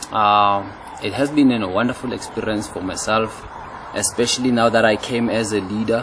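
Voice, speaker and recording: A man speaks at medium pitch with fairly even intonation. His pace is moderate, with noticeable background noise. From South Africa, Tembisa township, Gauteng. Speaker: youth program leader and trainer. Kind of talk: interview testimony.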